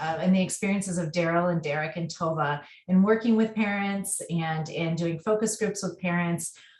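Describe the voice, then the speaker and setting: Fairly low in pitch, a woman's voice is somewhat breathy. She talks at a moderate pace with ordinary pitch variation. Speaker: researcher. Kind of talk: webinar presentation. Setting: webinar.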